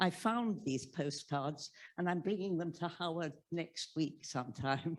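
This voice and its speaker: A woman with an English accent and a fairly low pitch, ordinary pitch variation and a moderate pace, on a very clean recording with a silent background. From England. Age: 80s+. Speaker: audience member. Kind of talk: audience question at book talk. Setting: library event with live audience. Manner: halting.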